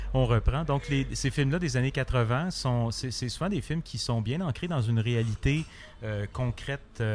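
A man talks at a medium pitch with ordinary pitch variation. He has an unremarkable speaking voice. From Quebec, Montreal. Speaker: comic book artist. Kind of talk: interview. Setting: bar.

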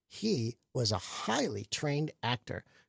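Speaking with an American accent, a man sounds somewhat breathy and uses lively intonation. The recording is very clean with a silent background, and the sound is dry and close with no echo. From Michigan and Florida. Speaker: comedian. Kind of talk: casual chat. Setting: studio.

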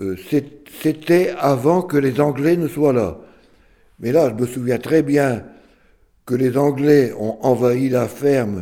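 Taking long, frequent pauses, a man with a medium pitch and a dark, mellow tone speaks at a very slow pace with ordinary pitch variation. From northern France, Lille area. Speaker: retired farmer. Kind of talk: oral history testimony. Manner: hesitant, repetitive.

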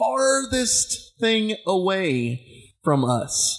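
A man's voice swings very widely in pitch. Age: 30s. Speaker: podcast host. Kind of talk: casual chat.

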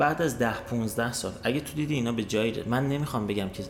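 The speech runs at a very fast pace with ordinary pitch variation. Audible room echo and noticeable background noise come through. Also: man. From Iran. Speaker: emigrant sharing experience. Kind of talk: casual chat.

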